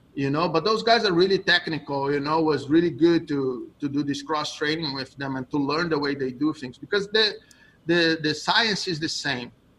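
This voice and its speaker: Speaking with a Brazilian accent, a man goes at a moderate pace with a fairly high pitch and ordinary pitch variation. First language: Portuguese. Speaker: jiu-jitsu coach. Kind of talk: interview.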